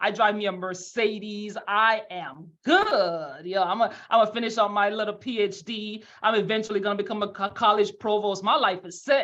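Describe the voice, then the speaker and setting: A woman speaks with a Jamaican accent at a medium pitch, her tone animated and her pitch varying in an ordinary way. She leaves hardly any pauses, and background noise is noticeable. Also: moderate pace. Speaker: financial services leader. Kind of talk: motivational webinar talk.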